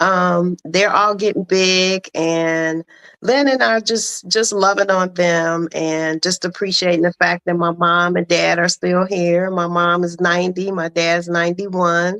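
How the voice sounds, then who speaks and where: A woman with an ordinary speaking voice talks fairly slowly at a fairly low pitch, with hardly any pauses and fairly even intonation. The sound is dry and close with no echo, over a quiet background. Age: 60s. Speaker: pre-need sales agent. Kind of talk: casual interview.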